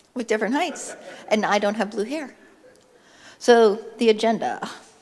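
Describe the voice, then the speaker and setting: In a room with audible echo, a woman with a fairly high voice speaks at a moderate pace with ordinary pitch variation. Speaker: conference speaker. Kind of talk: conference talk.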